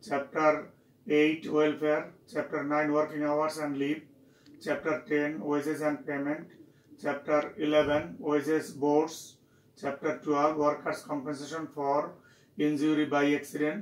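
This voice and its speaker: A man speaks at a fairly slow pace with monotone, flat intonation. Audible room echo surrounds his voice. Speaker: university lecturer. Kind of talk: lecture. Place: office.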